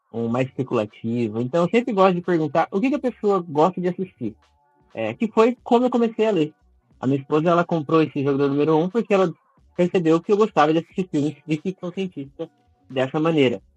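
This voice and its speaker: A man talks at a very fast pace and a high pitch with very wide pitch swings. The sound is dry and close with no echo, with music in the background. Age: 20s. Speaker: book content creator. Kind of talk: casual interview.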